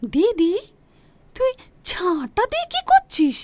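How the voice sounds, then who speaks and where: Squeaky and extremely high-pitched, a woman performs a put-on character voice with very wide pitch swings. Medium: short film. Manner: chatty, familiar.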